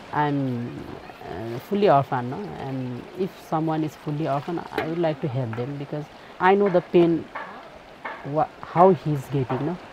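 Moderate pace with long, frequent pauses, a Nepali accent and noticeable background noise. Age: 20s. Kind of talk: documentary interview.

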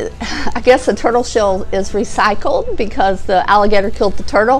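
A woman talks at a moderate pace while faint music sounds behind her. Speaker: outdoor vlogger. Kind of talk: casual vlog chat. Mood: cheerful, chatty. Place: studio. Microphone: lapel.

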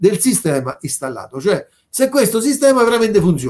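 This is a man speaking. His pace is moderate. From Lazio, Italy. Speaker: local politician and bandmaster hosting a livestream. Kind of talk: livestream community address. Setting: online live stream. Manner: halting, with frequent fillers. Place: home room. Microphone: webcam.

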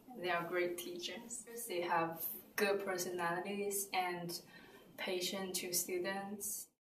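A woman with a Chinese accent at a very slow pace, fairly even intonation, audible room echo and light background noise. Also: medium pitch for a woman. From China; southern China. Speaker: student. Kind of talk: interview answer. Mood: cheerful, smiling. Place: office.

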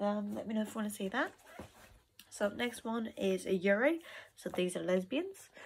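The voice has lively intonation. Light background noise can be heard. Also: woman. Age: 20s. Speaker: vlogger; haul vlogger. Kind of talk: casual haul video. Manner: hesitant, many fillers. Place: home room. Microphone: phone near.

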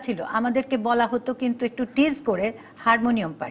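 A woman talks at a high pitch. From Bangladesh. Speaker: singer; talk show guest. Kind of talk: TV talk show interview. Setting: studio. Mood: reflective, animated. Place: studio. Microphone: lapel.

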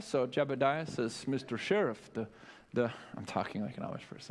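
This man's voice sits at a fairly high pitch. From Minnesota, US (New Ulm); Minnesota. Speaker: constitution class teacher. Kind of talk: lecture. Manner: animated. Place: church.

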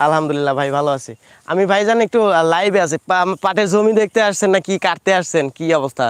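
The recording is very clean with a silent background and a dry, close sound with no echo. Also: man, high pitch for a man, ordinary pitch variation. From Bangladesh, Pabna district. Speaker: agricultural market video creator. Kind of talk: solo livestream talk and field interviews. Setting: outdoors in farm fields. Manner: halting, many fillers.

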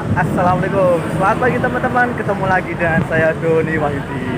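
Loud background noise behind a fairly quick-paced man. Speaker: cycling vlogger. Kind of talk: casual vlog chat. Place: bicycle. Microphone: phone near.

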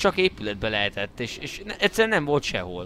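Very fast speech from a man, amid noticeable background noise. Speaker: gaming video creator. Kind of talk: casual gameplay chat.

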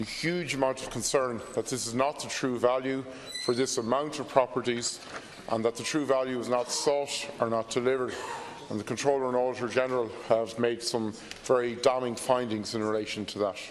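Monotone, flat delivery against noticeable background noise. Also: man, fairly quick pace. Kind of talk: parliamentary question speech. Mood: critical, pressing questions. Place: hall. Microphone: podium.

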